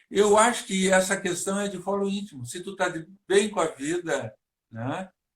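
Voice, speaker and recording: This man's high voice has ordinary pitch variation and a moderate pace. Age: 70s. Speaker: psychologist and hypnotist. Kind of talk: interview. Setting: online live stream.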